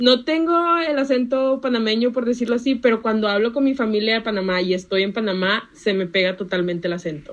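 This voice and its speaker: A woman talks at a fairly quick pace with a fairly high pitch. Her intonation is lively, and she hardly pauses at all. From Panama, moved to Monterrey, Mexico at age five. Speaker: economics student. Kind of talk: casual chat.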